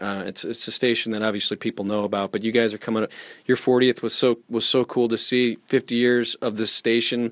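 The sound is dry and close, with no echo. A man with a normal speaking voice talks at a fairly quick pace with fairly even intonation. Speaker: podcast host. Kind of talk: casual interview.

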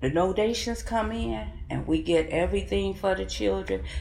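Speaking at a fairly slow pace with an American accent, a woman is heard through noticeable background noise and audible room echo. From Kankakee, Illinois. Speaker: city council member. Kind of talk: interview.

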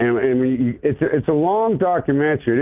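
At a moderate speed, an unremarkable speaking voice carries on. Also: man. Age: 50s. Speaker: caller, former mason. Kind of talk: phone-in call. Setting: phone call.

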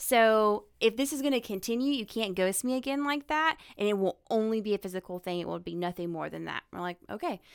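In a Southern US accent, a woman speaks with lively intonation and hardly any pauses on a very clean recording with a silent background. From North Carolina. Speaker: guest, girlfriend of a host. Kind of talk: casual banter. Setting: studio.

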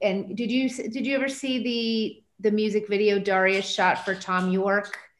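In a plain, everyday voice, a woman speaks fairly slowly at medium pitch with fairly even intonation. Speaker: film discussion host. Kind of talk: moderated video call conversation. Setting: video call.

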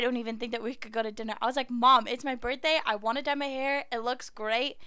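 A woman speaks at a very fast pace in a high, bright, sharp voice with fairly even intonation. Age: 20s. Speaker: nursing student. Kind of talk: casual chat. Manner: fast talker.

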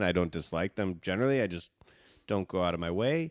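Very deep, low man's voice in a Chicago accent at a very fast pace, dry and close with no echo, very clean recording with a silent background. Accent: Chicago, US Midwest. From Chicago suburbs, US. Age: 30s. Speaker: guest co-host of a reality TV recap podcast. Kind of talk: casual chat, joking banter.

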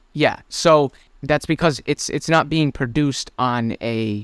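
The voice keeps a fairly even intonation in a dry, close recording with no echo, very clean against a silent background. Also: man. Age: 20s. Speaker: podcast co-host. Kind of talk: casual chat. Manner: hesitant, many fillers.

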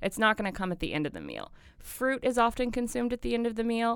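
Her delivery rushes along at a very fast clip. This woman's intonation is lively throughout. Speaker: food tour company founder. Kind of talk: casual interview chat. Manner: fast talker.

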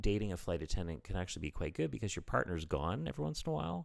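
Very fast speech with vocal fry, in a Canadian accent. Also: man. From Canada. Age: 40s. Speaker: comedian. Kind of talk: casual chat. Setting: his apartment.

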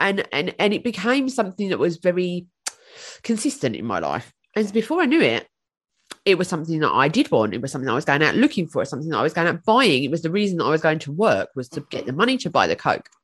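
In a British accent, the speaker goes at a very fast pace with vocal fry. The pitch swings very widely. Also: woman, fairly low pitch for a woman. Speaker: podcast guest.

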